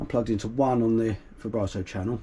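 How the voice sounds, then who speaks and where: A man talks with a British accent. His voice is somewhat breathy. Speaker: guitarist. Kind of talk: tutorial. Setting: small room at home. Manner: casual, hesitant with fillers.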